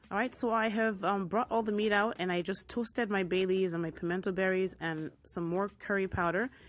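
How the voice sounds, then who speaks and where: With music in the background, a woman with a fairly low voice speaks in an upbeat tone at a fairly quick pace, her pitch varying in an ordinary way. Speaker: home cook. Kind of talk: cooking tutorial talk. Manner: casual, upbeat.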